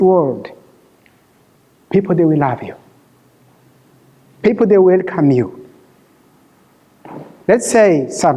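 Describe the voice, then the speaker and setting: A man with a non-native accent speaks in a high voice with lively intonation. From Rwanda. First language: Kinyarwanda or French. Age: 50s. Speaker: refugee sharing his life story. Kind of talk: testimony. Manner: halting.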